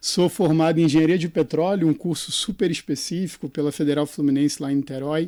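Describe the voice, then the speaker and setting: In a Rio de Janeiro accent, a dark, mellow voice speaks at a moderate pace with fairly even intonation, on a very clean recording with a silent background. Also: man. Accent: carioca accent, noticeable. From Brazil, Rio de Janeiro. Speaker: executive search consultant. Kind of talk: podcast interview.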